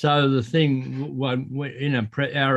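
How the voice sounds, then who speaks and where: Speaking in an Australian accent, a man talks at medium pitch and a fairly slow pace. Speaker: railway preservation volunteer. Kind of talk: casual Q&A discussion. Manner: halting, repetitive.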